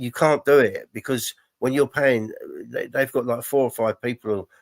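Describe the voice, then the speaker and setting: The speaker has a London accent. The sound is dry and close, without any echo. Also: man. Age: 60s. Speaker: football podcast co-host. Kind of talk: casual chat. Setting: live stream. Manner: halting.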